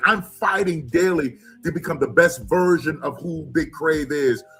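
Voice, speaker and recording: Over music in the background, a man speaks in a fairly high voice. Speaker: live show host. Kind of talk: live show host interviewing a co-host.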